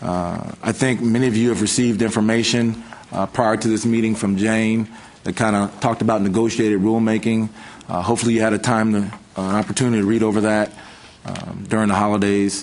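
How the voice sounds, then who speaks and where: Against noticeable background noise, a man rushes along at a very fast pace in a fairly low pitch with monotone, flat intonation. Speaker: state agency official. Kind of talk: committee meeting presentation. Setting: meeting room, streamed online. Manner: loud.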